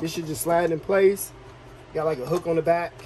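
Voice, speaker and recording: Over noticeable background noise, a man talks at a moderate pace with a high pitch and fairly even intonation. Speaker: YouTube DIY car repair creator. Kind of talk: tutorial. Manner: casual, thinking aloud while working.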